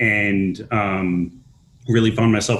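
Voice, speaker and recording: Over a quiet background, a man speaks at a fairly low pitch with a slight Minnesota accent. His intonation is monotone and flat. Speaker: nonprofit housing developer. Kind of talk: panel discussion.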